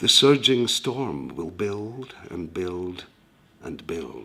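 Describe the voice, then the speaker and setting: Speaking very slowly with a Scottish accent, a man uses a fairly low pitch and lively intonation. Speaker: author reading his own writing. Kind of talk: dark spoken-word poetry reading.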